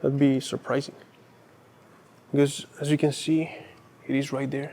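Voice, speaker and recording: At a moderate pace, a man speaks with a dark, mellow tone at a fairly high pitch. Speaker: urban exploration vlogger. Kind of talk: walking tour vlog. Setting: indoors in an empty mall. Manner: halting.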